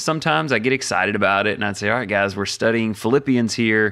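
A man has a normal speaking voice at a medium pitch and a fairly quick pace. The recording is very clean, with a silent background. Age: 40s. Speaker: podcaster and pastor. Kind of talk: casual chat.

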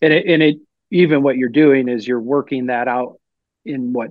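A man speaks in a normal speaking voice at medium pitch. His pace is moderate. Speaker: pastor. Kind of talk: theological discussion.

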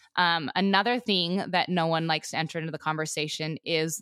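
In an American accent, a woman with an unremarkable speaking voice talks at a fairly quick pace and fairly low pitch with ordinary pitch variation, the sound dry and close with no echo on a very clean recording with a silent background. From Montana, US. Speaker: rancher and agriculture advocate. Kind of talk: casual interview.

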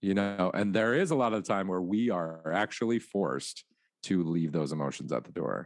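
Very deep and low in pitch, a man speaks at a moderate pace with lively intonation. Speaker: high school choir director. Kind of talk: casual interview chat. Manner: animated.

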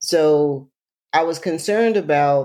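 A woman with an American accent speaks in a very deep, low pitch and a dark, mellow tone. The recording is very clean, with a silent background. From US South, rural Alabama. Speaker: environmental health advocate and author. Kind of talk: interview conversation.

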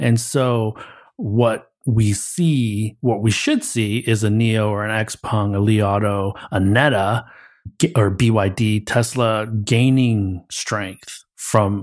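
A man with a Midwestern accent speaks at a fairly low pitch with fairly even intonation and very even loudness, on a very clean recording with a silent background. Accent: American Midwest. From US Midwest, Michigan near Detroit. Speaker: consultancy managing director and podcast host. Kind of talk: casual chat.

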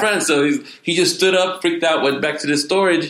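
A man at a fairly quick pace, with noticeable background noise behind him. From Puerto Rico. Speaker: pastor. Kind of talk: interview. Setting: conference. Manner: halting.

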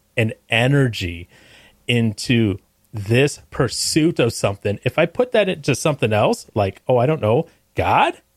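A man with an ordinary speaking voice speaks fairly slowly at medium pitch with ordinary pitch variation. The sound is dry and close with no echo, in a very clean recording with a silent background. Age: 30s. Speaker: podcast guest, podcast co-host. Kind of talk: casual chat.

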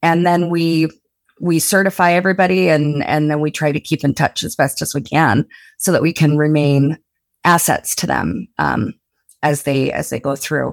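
A woman with a very deep, low voice speaks at a moderate pace with ordinary pitch variation, in a dry, close sound with no echo and a very clean recording with a silent background. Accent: American. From rural Utah (Blanding). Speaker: remote work program coordinator. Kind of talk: podcast interview.

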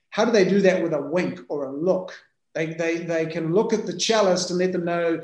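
Speaking at a fairly quick pace, a man with a New Zealand accent keeps a fairly even intonation at a high pitch. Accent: New Zealand (Kiwi). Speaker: business founder and CEO. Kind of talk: casual interview chat.

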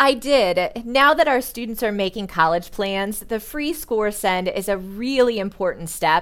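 On a very clean recording with a silent background, a woman speaks with an American accent. She has an ordinary speaking voice, a moderate pace and lively intonation. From US Midwest, Indiana. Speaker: school counselor and AP coordinator. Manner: polished, professional.

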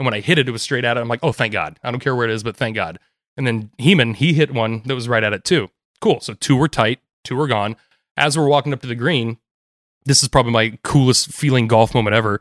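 Energetic in tone, a man at a medium pitch talks at a very fast pace with ordinary pitch variation. The recording is very clean and silent in the background, dry and close with no echo. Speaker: golf caddie. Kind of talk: casual chat.

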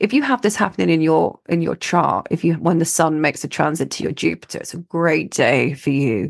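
The speaker talks at a fairly quick pace with lively intonation and some vocal fry. The background is quiet. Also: woman, very deep, low pitch for a woman. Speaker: astrologer, podcast host. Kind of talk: weekly forecast monologue. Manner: hesitant, many fillers; projecting loudly.

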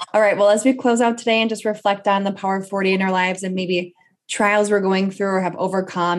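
In a plain, everyday voice, a woman speaks at a medium pitch and a fairly quick pace with fairly even intonation. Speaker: podcast host. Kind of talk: podcast interview.

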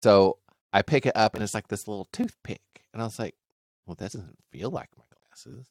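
With a Southern US accent, a man speaks at a moderate pace in a fairly low voice, with ordinary pitch variation and big swings in loudness, the sound dry and close with no echo. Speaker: podcast host. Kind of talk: casual banter.

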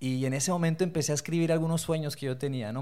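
A man with an unremarkable speaking voice, fairly high in pitch and fairly quick in pace, on a very clean recording with a silent background. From Colombia (Bogotá), born in Torreón, Mexico. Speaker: leadership foundation executive. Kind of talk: interview conversation.

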